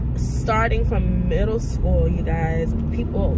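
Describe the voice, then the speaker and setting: A woman is heard in a dry sound with no echo amid loud background noise. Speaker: vlogger. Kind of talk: casual vlog chat. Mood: reflective, earnest. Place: car. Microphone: phone near.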